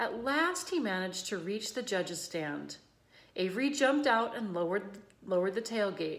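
Lively intonation runs through the unforced reading voice.

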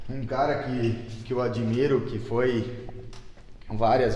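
Audible room echo surrounds a man's voice. He talks at a fairly slow pace with fairly even intonation. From Selbach, Rio Grande do Sul, southern Brazil; Rio Grande do Sul, Brazil. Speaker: town councillor. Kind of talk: interview. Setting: on location in council chamber. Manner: halting, many repetitions. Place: meeting room. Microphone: handheld.

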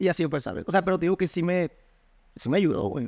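This high-pitched man talks at a very fast pace with ordinary pitch variation. The background is quiet. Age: 20s. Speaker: university student; interview guest. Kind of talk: casual chat. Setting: at home. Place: home room. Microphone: studio mic.

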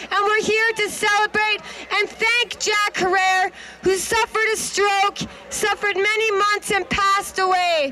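Loud background noise fills the recording. Through it, a woman speaks at a moderate pace. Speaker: speaker. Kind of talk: public speech. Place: street. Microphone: handheld.

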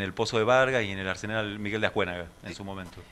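A man's fairly quick speech in a bright, sharp tone. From Argentina, San Nicolás, Buenos Aires province. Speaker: museum director guest. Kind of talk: radio interview. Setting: radio studio. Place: studio. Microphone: studio mic.

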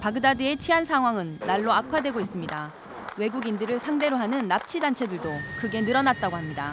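Over noticeable background noise, with a dry sound and no echo, a woman talks at a fairly quick pace and a fairly high pitch, her voice making very wide pitch swings. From South Korea. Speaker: TV news producer-reporter. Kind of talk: scripted narration.

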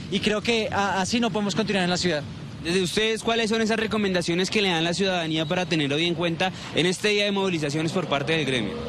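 A man with a high pitch speaks at a very fast pace, with very even loudness and ordinary pitch variation. The sound is dry with no echo, though noticeable background noise is present. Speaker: field reporter. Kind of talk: live news report. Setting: outdoors. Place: street. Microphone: handheld.

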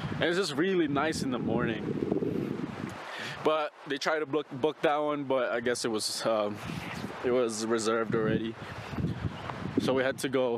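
A man talks at a fairly slow pace with ordinary pitch variation and long, frequent pauses. The sound is dry with no echo, under loud background noise. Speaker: vlogger. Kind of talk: casual vlog chat. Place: forest. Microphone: phone near.

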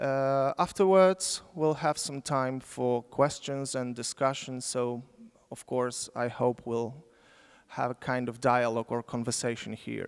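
A man speaks with a Polish accent at a fairly slow pace. His pitch varies in an ordinary way against a quiet background. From Poland. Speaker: sociologist, symposium moderator. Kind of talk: conference moderation. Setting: lecture hall with audience. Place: hall. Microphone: handheld.

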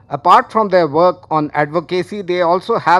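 A man with a high pitch against a quiet background. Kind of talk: formal speech. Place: hall. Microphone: podium.

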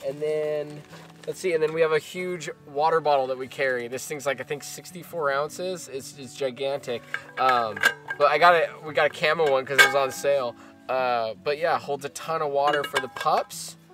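A man talks at a moderate pace with a dry sound and no echo. Clear music plays in the background. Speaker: travel vlogger. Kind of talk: casual product walkthrough. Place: car.

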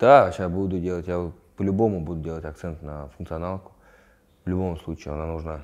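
With a very deep, low pitch, a man speaks in fairly even intonation, with big swings in loudness. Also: fairly quick pace. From Moscow region, Russia. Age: 20s. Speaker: fighter; interviewee. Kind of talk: interview; interview answer. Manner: halting. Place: home room. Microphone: lapel.

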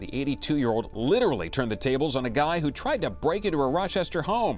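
Music plays behind a man talking at a fairly quick pace. His fairly high voice swings very widely in pitch. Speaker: news anchor. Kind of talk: TV news read.

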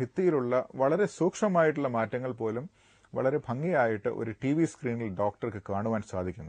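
Pitched at medium for a man, his voice makes very wide pitch swings. The sound is dry with no echo, over a quiet background. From Kerala, India. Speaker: gastroenterologist doctor; guest. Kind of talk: TV health interview. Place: studio. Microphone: lapel.

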